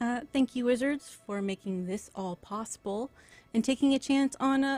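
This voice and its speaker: Against music in the background, a woman speaks at a moderate pace with lively intonation, the sound dry and close with no echo. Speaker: game master and stream host. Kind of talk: live-streamed tabletop game introduction. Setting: live stream. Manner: mumbles syllables.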